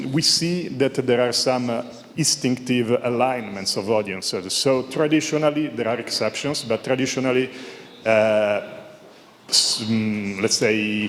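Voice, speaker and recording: A man talks at a fairly slow pace with an Italian accent. His pitch is medium with ordinary variation, over noticeable background noise. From Italy. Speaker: audience member asking question. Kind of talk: panel Q&A question. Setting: conference panel with audience. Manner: halting, many fillers.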